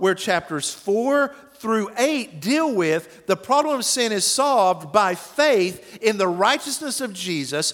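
Over noticeable background noise, a man talks at a fairly slow pace. His high pitch makes very wide swings. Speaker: pastor. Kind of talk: sermon. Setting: church.

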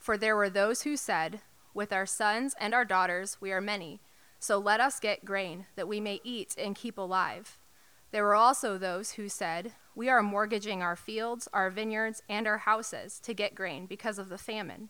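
The tone is bright and sharp, with fairly even intonation. The recording is very clean with a silent background. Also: woman, medium pitch for a woman, moderate pace. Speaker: scripture reader. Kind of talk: scripture reading aloud. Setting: church.

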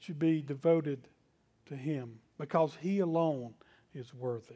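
Against a quiet background, a man talks with a Southern US accent and lively intonation. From US South. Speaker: pastor. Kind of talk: sermon.

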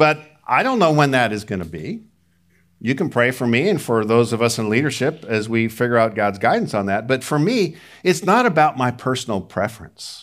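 Recorded very cleanly against a silent background, a man with a normal speaking voice talks at a medium pitch and a fairly quick pace, with lively intonation. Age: 60s. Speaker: pastor. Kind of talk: sermon. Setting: church.

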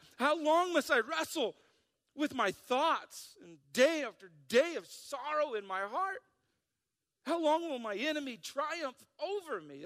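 Putting on a whiny character voice, a man speaks at an extremely high pitch and a fairly slow pace. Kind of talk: scripture reading. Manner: complaining, plaintive.

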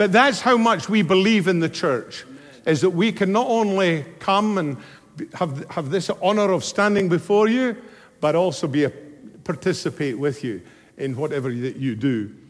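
This man talks at a moderate pace with an animated tone, his high voice swinging very widely in pitch. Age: 70s. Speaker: guest preacher. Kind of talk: sermon. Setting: stage with audience.

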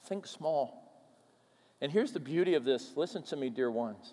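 The speaker has a Minnesota accent and lively intonation. The pace is moderate. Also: man. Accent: Minnesotan American English. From US upper Midwest, Minnesota. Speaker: pastor. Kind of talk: sermon. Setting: church.

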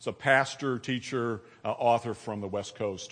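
With a plain, everyday voice, a man talks with ordinary pitch variation. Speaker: church member. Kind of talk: sermon. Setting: church.

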